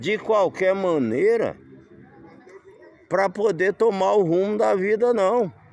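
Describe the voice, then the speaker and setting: With lively intonation and a high pitch, a man speaks at a very slow pace over noticeable background noise. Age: 60s. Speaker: vlogger living in a camper van. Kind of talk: casual vlog monologue. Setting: outdoors.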